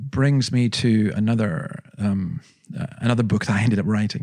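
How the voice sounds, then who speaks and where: A man with a Scottish accent, medium in pitch, in a dark, mellow tone at a moderate pace and very even loudness. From Scotland. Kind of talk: interview, personal storytelling.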